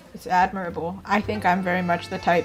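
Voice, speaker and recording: Music plays in the background as a woman speaks in an animated tone. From Canada. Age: 30s. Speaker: art streamer. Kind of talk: casual chat. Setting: voice call on live stream.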